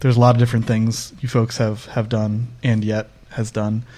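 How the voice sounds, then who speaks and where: A man speaks with an American accent at medium pitch. He has a normal speaking voice and a moderate pace. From Northeast US. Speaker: podcast host, developer advocate. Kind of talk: casual interview conversation. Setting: remote podcast recording.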